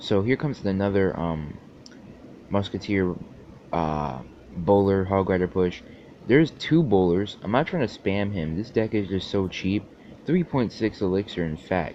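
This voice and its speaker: A man speaks at a fairly low pitch and a moderate pace. He takes long, frequent pauses. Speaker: gaming YouTuber. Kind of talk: gameplay commentary.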